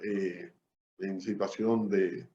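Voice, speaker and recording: This is a man speaking at a medium pitch. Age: 60s. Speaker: public servant. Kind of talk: interview, life story.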